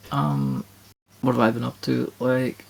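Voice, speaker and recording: A man talks quietly. His voice carries vocal fry. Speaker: co-host of gaming podcast. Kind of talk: casual chat. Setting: late-night home recording. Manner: quiet, subdued.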